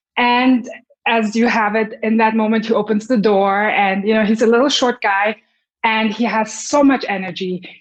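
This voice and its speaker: In a German accent, a woman with a fairly high pitch talks at a moderate pace, her intonation fairly even and her loudness very even. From Germany, Munich. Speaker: violinist and conductor. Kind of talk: interview.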